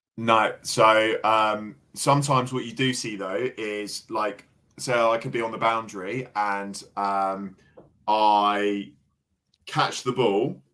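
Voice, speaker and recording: At a very slow pace, a man with a fairly low pitch speaks in a bright, sharp tone with fairly even intonation. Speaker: cricket explainer on a sports stream. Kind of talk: casual chat. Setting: live stream.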